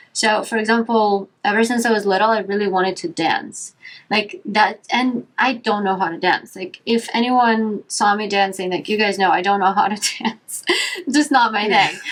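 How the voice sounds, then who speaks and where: A woman with a non-native accent speaks at a moderate pace. Her voice is fairly high, with ordinary pitch variation. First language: not English. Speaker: yoga teacher and podcast host. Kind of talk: casual chat. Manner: animated.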